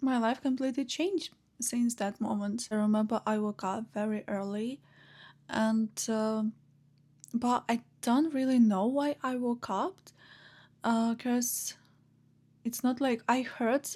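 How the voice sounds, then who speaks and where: With a Ukrainian accent, a woman speaks at a very slow pace and a fairly high pitch, using fairly even intonation and long, frequent pauses. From Ukraine, Chernihiv. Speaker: vlogger. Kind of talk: personal story. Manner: hesitant, many fillers.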